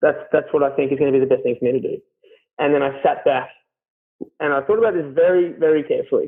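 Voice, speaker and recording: A man with an Australian accent talks at a very fast pace. Long, frequent pauses break up his speech. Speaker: carpenter. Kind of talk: casual interview chat. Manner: loud; hesitant, many fillers.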